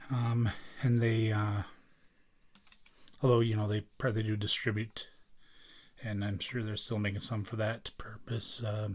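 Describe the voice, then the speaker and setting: Soft-spoken and somewhat breathy, a man talks at a fairly low pitch in a flat monotone. His pace is fairly slow, with long, frequent pauses. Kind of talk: ASMR, soft-spoken talk to camera.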